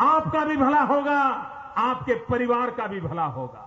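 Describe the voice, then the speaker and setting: A man speaks with an extremely high-pitched voice. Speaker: politician giving a rally speech. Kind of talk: political rally speech to a crowd. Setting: PA system, large outdoor crowd. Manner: forceful, rhetorical, rising intensity.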